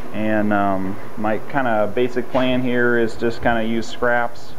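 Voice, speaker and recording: Over light background noise, a man speaks with monotone, flat intonation. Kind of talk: casual vlog chat. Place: garage.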